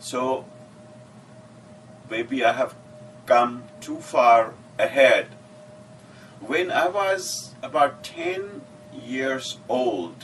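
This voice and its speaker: A man with a Pakistani accent speaks at a very slow pace, leaving long, frequent pauses. Noticeable background noise runs underneath. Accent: Pakistani (Sindhi) English. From Pakistan, Sindh (Shikarpur). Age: 60s. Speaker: retiree telling his life story. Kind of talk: personal memoir narration.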